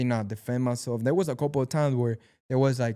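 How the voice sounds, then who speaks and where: A man with a Mexican accent at a medium pitch, very fast, with ordinary pitch variation and a dark, mellow tone, in a dry, close sound with no echo on a very clean recording with a silent background. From Mexico. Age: 20s. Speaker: actor and amateur boxer. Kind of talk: casual chat.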